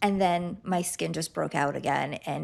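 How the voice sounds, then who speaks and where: A woman with a medium pitch, vocal fry and lively intonation speaks at a moderate pace on a very clean recording with a silent background. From Lithuania, moved to US at ten. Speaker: clinical nutritionist. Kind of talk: interview.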